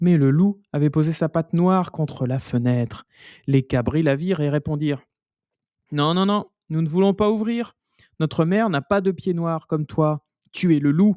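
A gentle tone at a moderate pace, with long, frequent pauses against a quiet background. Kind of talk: bedtime story told aloud, reading a fairy tale with a storyteller's cadence.

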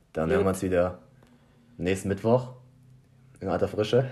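A man's very deep, low voice with ordinary pitch variation and a dark, mellow tone. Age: 20s. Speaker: podcast co-host. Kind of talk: casual chat. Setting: small apartment. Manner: halting, searches for words.

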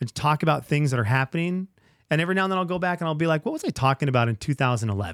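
A man speaks very fast with lively intonation and a fairly high pitch. The recording is very clean and silent, dry and close with no echo. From Venezuela. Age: 40s. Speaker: radio broadcaster. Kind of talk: casual chat.

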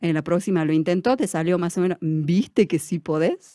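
A woman's fairly low voice, dark and mellow in tone, with fairly even intonation at a moderate pace, in a dry, close sound with no echo. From Argentina, Tartagal (Salta), Sachapera community. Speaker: teacher-training student and community educator. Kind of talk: interview. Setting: studio.

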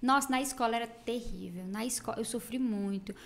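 Speaking with a slight Ceará accent, a woman talks at a moderate pace in a high pitch with fairly even intonation. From Brazil, Ceará (interior, Tauá). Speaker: makeup artist. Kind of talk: casual chat.

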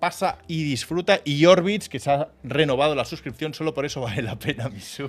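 Fairly high in pitch, a man talks at a fairly quick pace with lively intonation and hardly any pauses. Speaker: video game streamer and podcast co-host. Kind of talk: casual chat. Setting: live stream studio. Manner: animated.

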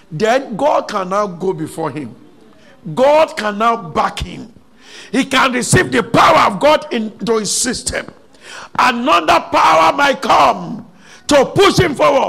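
Over noticeable background noise, a man uses a raised, projected voice at an extremely high pitch with very wide pitch swings. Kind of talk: fervent prayer, charged preaching. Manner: loud, impassioned, urgent call-and-response cadence with repeated pleas; animated, exhorting the congregation to shout.

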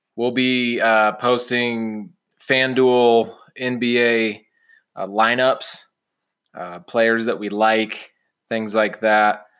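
The speaker, with an American accent, talks at a very slow pace with monotone, flat intonation. Long pauses come often. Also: man, medium pitch for a man, very clean recording, silent background. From Illinois (Champaign-Urbana). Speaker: sports betting podcast host. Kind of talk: casual chat.

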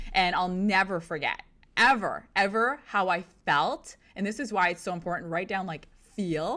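An enthusiastic woman's voice, bright and sharp in tone, at a fairly slow pace. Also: very clean recording, silent background. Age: 30s. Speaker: motivational podcast host and sales entrepreneur. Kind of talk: solo motivational talk.

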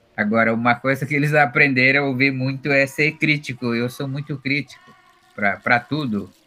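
In a normal speaking voice, a man talks at a moderate pace with fairly even intonation. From Brazil, Upper Rio Negro, Amazonas (Baniwa people). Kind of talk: interview.

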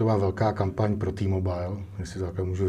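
A man with a very deep, low voice speaks at a fairly quick pace, his tone dark, mellow and somewhat breathy. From Czech Republic, Most. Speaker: film director and cinematographer. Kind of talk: interview. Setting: studio.

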